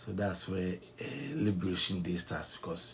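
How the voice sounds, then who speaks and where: A man with a very deep, low pitch speaks at a moderate pace in a somewhat breathy voice. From Ghana. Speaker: online news commentator. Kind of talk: political commentary monologue. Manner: halting, with fillers and restarts.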